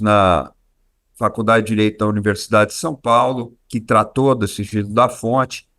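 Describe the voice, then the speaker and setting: Fairly even intonation carries speech delivered fairly slowly. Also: man. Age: 60s. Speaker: journalist and professor. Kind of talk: webinar lecture. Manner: hesitant, many fillers.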